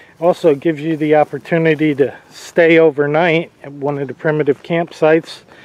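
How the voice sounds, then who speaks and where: A man speaks at a moderate pace. The sound is dry, with no echo. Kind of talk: casual vlog chat. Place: open country. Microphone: phone near.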